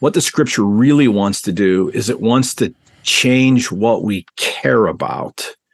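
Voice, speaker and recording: At a fairly slow pace, a man with a medium pitch speaks in a normal speaking voice. His pitch variation is ordinary. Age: 50s. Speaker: seminary professor of biblical studies. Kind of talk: interview about his book.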